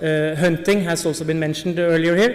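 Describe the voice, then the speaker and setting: A high-pitched man's voice with audible room echo and noticeable background noise. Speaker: polar bear researcher. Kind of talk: conference talk. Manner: hesitant, many fillers.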